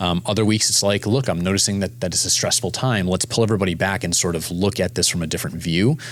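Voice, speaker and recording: A man's fairly low voice at very even loudness, hardly any pauses, with noticeable background noise. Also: ordinary pitch variation. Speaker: startup founder and CEO. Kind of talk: interview conversation. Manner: fast.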